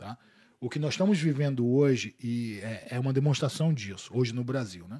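This man has a medium pitch and ordinary pitch variation. He talks at a moderate pace and sounds somewhat breathy. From Boa Vista, Roraima, northern Brazil. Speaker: jiu-jitsu academy director. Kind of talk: casual chat.

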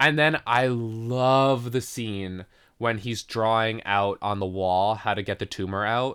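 A man's unremarkable speaking voice at medium pitch, fairly slow in pace and fairly even in intonation, on a very clean recording with a silent background. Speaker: podcast host. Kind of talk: casual chat. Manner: casual, conversational.

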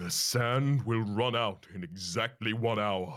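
A man puts on a growling character voice. His pitch sits in the medium range and his pace is fairly slow. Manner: growling, menacing.

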